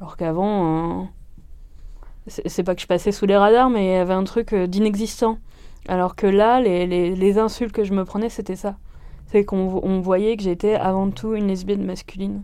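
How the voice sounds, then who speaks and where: A woman's dark, mellow voice sits at a medium pitch, with fairly even intonation and a moderate pace. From northern France. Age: 30s. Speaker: medical secretary. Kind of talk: testimony. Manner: halting, many hesitations.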